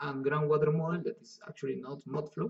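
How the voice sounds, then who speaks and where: With a Spanish accent, a man is talking. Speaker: software instructor. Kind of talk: tutorial. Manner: halting.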